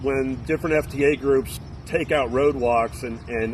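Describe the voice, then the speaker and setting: A man talks at a fairly slow pace with a medium pitch and ordinary pitch variation. Noticeable background noise can be heard. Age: 50s. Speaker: thru-hiker, retired navy veteran. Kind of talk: interview. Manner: casual, halting with fillers.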